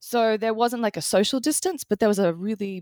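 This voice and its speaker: A woman with an Australian accent speaks on a very clean recording with a silent background and a dry, close sound with no echo. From Australia, Brisbane. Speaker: designer and author. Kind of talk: interview conversation. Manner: halting, many fillers.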